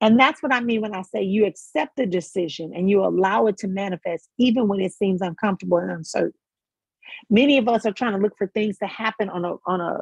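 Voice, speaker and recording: Fairly high in pitch and somewhat breathy, a woman speaks at a fairly quick pace with ordinary pitch variation, the sound dry and close with no echo. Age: 50s. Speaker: spiritual life coach. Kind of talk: motivational talk.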